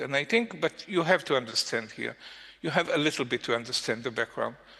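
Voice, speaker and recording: A man's bright, sharp voice in an Israeli accent. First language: Hebrew. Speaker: journalist. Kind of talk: panel discussion. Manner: halting.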